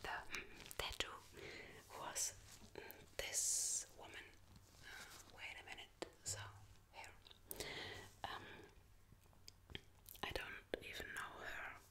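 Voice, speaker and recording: A woman whispers at a very slow pace. Her speech has long, frequent pauses. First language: not English. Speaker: ASMR creator. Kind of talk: ASMR soft-spoken story about her tattoos. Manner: soft-spoken, whispered, hesitant. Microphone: studio mic.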